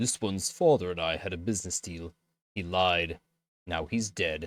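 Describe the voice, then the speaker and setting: On a very clean recording with a silent background, a put-on character voice talks at a moderate pace with fairly even intonation. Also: man, very deep, low pitch for a man. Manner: unconcerned, matter-of-fact.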